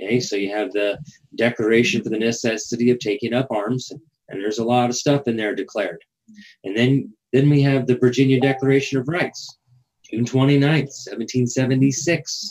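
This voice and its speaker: An unremarkable speaking voice from a man at medium pitch, with ordinary pitch variation and a fairly quick pace. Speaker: legal education show host. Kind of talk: live show monologue explaining historical documents. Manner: casual, with fillers and repetitions.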